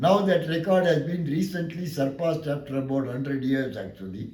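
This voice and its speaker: With a Tamil accent, a man speaks in a fairly high pitch with lively intonation, and audible room echo surrounds his voice. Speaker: law lecturer. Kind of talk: lecture.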